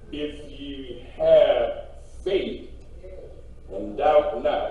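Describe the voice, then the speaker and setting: A man's voice carries a strong room echo. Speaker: preacher. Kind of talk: scripture reading in a sermon. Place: church. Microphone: podium.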